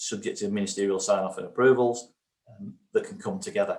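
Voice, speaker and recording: A man with a strong northern English accent, talking at a fairly quick pace. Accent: very northern English. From northern England. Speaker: research funding programme lead presenting. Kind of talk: conference presentation. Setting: online virtual event. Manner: hesitant, many fillers.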